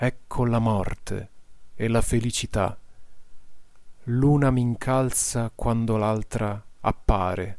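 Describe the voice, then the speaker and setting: In a calm, soothing tone, a man speaks at medium pitch at a very slow pace, with long, frequent pauses and fairly even intonation. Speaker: meditation guide. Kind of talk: guided meditation, with a poem read aloud in the middle. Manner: slow, calm, soothing, with long pauses.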